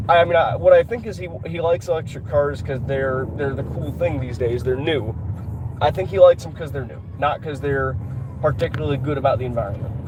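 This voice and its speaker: Amid noticeable background noise and audible room echo, a man with a Georgia accent and a medium pitch talks at a fairly quick pace, with lively intonation and big swings in loudness. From Georgia, US South. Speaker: car vlogger. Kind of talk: casual driving vlog monologue. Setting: in a car while driving. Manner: halting, many repetitions.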